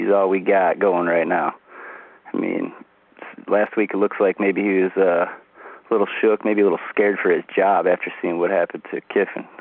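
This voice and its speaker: A man at a moderate pace in an American accent, with noticeable background noise. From US Midwest. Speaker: caller. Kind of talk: phone-in message.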